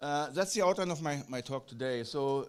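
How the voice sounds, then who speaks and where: A man with a German accent and a fairly high pitch speaks at a moderate pace in a very clean recording with a silent background. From Germany. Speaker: physician researcher. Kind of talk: conference lecture. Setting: conference hall. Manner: halting, with many fillers and repetitions.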